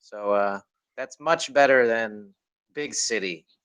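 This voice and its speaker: An American accent marks this man's speech, which has very wide pitch swings. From US, Chicago. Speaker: online English tutor. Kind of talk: casual conversation practice.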